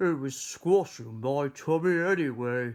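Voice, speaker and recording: A man uses a put-on character voice with a fairly high pitch. His pace is fairly slow. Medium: read story. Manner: cheerful, kindly.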